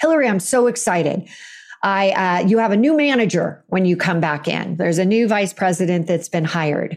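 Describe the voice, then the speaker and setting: With a Californian accent, a woman talks at a fairly quick pace in a fairly low pitch, her intonation lively. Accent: Californian American. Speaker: author and coach. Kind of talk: interview.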